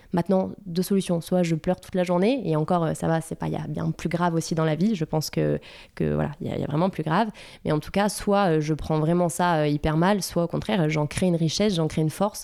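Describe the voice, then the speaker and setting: On a very clean recording with a silent background, a woman with a dark, mellow tone and fairly low pitch talks fairly quickly with fairly even intonation. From France, Bordeaux. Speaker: entrepreneur, skincare brand founder. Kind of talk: casual interview chat. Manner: halting, many hesitations and repetitions.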